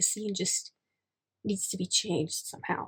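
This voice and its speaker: The speech comes at a fairly quick pace, and the sound is dry and close with no echo. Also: woman. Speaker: writing YouTuber. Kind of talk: casual vlog. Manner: fast.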